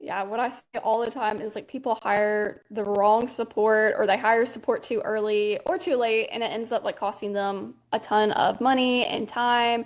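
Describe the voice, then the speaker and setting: A woman with an Alabama accent speaks at a moderate pace in a fairly high pitch, with fairly even intonation and hardly any pauses, against a quiet background. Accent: Southern US (Alabama). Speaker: social media manager. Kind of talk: casual webinar chat.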